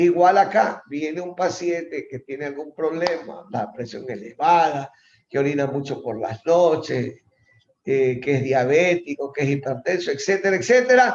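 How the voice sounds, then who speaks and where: Using a plain, everyday voice, a man speaks at a fairly slow pace with a fairly high pitch and lively intonation. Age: 60s. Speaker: professor. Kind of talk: lecture.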